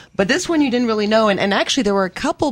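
A woman speaks in an animated tone with lively intonation. The recording is very clean, with a silent background. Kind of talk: talk radio co-host. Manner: animated, opinionated.

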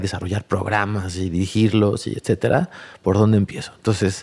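A man speaks in a normal speaking voice at a fairly low pitch and a fairly quick pace. The recording is very clean, with a silent background. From Mexico City area (Tlalnepantla periphery). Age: 40s. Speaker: sustainable development entrepreneur. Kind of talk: interview conversation.

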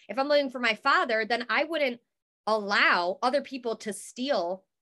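Animated and bright with a sharp tone, a woman speaks in a high pitch with lively intonation at a moderate pace. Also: big swings in loudness. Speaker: guest, coach and podcaster. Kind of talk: casual interview chat, faith testimony. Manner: animated, talkative.

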